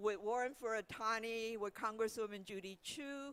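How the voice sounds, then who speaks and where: The tone is bright and sharp, with a Chinese accent. The pace is moderate. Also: woman. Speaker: museum leader. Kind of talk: commemoration welcome speech.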